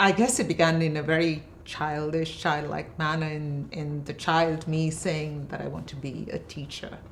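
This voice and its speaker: A woman speaks with a very deep, low pitch at a fairly slow pace, with big swings in loudness. Room echo is audible. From India, Bangalore (born in Kerala). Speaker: poet and professor. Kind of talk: interview conversation. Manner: hesitant, many fillers.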